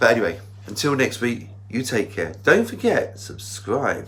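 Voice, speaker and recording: The voice moves at a fairly slow pace with ordinary pitch variation. Noticeable background noise and audible room echo are present. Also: man. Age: 60s. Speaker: vlogger. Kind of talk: casual vlog.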